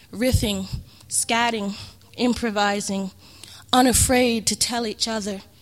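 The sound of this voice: Unforced reading voice, nothing more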